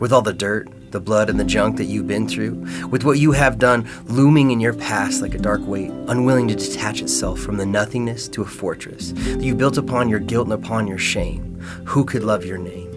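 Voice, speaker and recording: Music plays in the background as a man speaks at a moderate pace with hardly any pauses. His pitch is fairly low and his intonation lively. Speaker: spoken word poet. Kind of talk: spoken word poetry performance.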